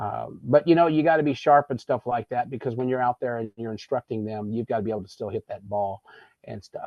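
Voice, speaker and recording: His voice sits at a medium pitch and rises and falls in an ordinary way. This man has an ordinary speaking voice. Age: 60s. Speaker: golf show host. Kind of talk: casual chat. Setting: studio.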